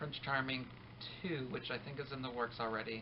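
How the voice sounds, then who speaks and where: Over noticeable background noise, a man talks at a medium pitch with fairly even intonation. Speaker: vlogger, teacher. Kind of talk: casual vlog monologue. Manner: fast; hesitant, many ums.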